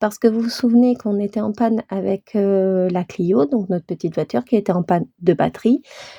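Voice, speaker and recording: With a dark, mellow, somewhat breathy tone, a woman speaks at a moderate pace with ordinary pitch variation in a dry, close sound with no echo over a quiet background. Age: 40s. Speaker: budgeting vlogger. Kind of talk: casual vlog talk. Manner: hesitant, many filler sounds.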